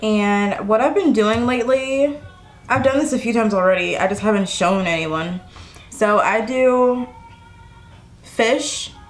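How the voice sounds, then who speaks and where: Faint music sits in the background. Over it, a woman talks fairly slowly. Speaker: vlogger. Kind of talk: casual vlog chat. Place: home room. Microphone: camera far.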